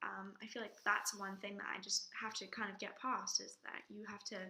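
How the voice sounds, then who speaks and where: A woman speaks at a moderate pace in an English accent. There is noticeable background noise. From England. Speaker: drama student. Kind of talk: personal video reflection.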